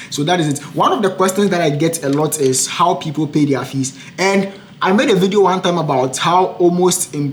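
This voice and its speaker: Amid noticeable background noise, a man talks fairly quickly at a high pitch with ordinary pitch variation. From Africa. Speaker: international student and podcaster. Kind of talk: casual chat. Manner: fast.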